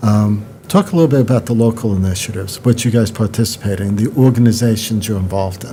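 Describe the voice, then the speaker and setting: With an American accent, a man talks at a very fast pace in a medium pitch, his pitch varying in an ordinary way against noticeable background noise. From New York. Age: 60s. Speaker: podcast host. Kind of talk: interview.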